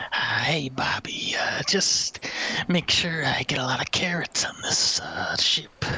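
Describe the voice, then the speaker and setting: A put-on character voice whispers. The pace is fairly slow. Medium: actual play.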